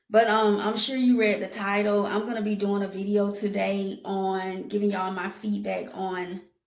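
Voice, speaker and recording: A woman speaks at a moderate pace and medium pitch in a monotone, flat intonation. Room echo is audible. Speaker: YouTuber. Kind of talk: casual vlog review.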